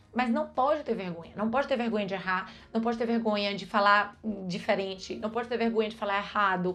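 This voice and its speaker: This woman's pitch is fairly high. She speaks at a fairly quick pace in an animated tone. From Brazil. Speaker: vlogger. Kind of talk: casual advice vlog.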